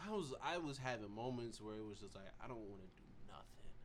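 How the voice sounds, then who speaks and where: A man speaks at a very fast pace. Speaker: podcast co-host. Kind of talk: casual chat. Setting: studio.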